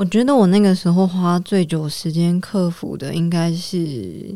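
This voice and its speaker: In a calm, dark and mellow tone, a woman speaks at a fairly slow pace, her fairly low pitch showing ordinary variation. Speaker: cancer survivor and social entrepreneur. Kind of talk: interview conversation. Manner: calm and steady.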